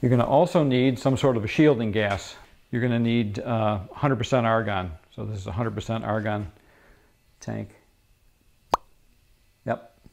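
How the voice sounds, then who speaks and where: There is light background noise as a man talks at a moderate pace. He uses long, frequent pauses and ordinary pitch variation. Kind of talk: tutorial. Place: garage. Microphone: phone near.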